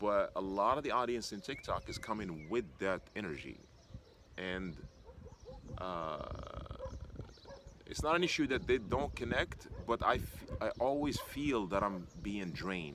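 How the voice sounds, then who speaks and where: Very wide pitch swings and long, frequent pauses come through over noticeable background noise. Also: man, fairly low pitch for a man. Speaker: YouTuber, former software engineer. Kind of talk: casual vlog monologue. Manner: hesitant, many fillers.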